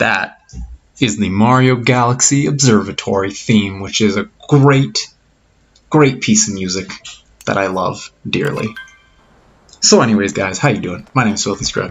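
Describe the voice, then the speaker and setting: Quiet and fairly low-pitched, a man talks with ordinary pitch variation and long, frequent pauses. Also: moderate pace. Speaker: gaming youtuber. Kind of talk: let's play commentary. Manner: quiet, subdued.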